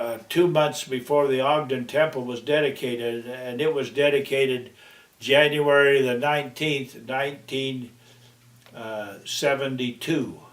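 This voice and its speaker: Noticeable background noise sits behind a man speaking at medium pitch and a moderate pace, with monotone, flat intonation. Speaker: grandfather; war veteran. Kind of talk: interview answer.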